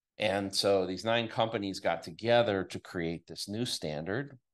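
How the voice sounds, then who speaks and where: Delivery comes at a fairly slow pace with ordinary pitch variation. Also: man. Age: 50s. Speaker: bitcoin mining podcast host, former PC industry worker. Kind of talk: solo monologue podcast. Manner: conversational, with frequent fillers and repetitions.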